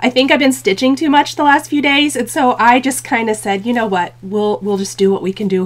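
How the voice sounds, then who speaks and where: The woman's intonation is lively. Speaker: craft channel host. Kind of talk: casual livestream chat. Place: home room.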